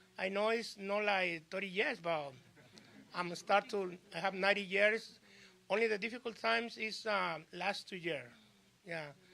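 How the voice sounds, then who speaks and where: A man's raised, projected voice, high and bright with a sharp edge, in a Spanish accent at a fairly slow pace with ordinary pitch variation, in a very clean recording with a silent background. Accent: Spanish-accented, limited English. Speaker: small business owner. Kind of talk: short speech at press conference. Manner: halting.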